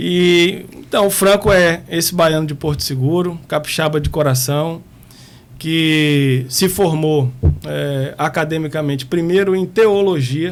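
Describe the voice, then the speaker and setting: Here a man speaks at a very slow pace. His voice is fairly high, with ordinary pitch variation. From Espírito Santo, Brazil (born in Bahia, moved at 8). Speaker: prison police director. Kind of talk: podcast interview.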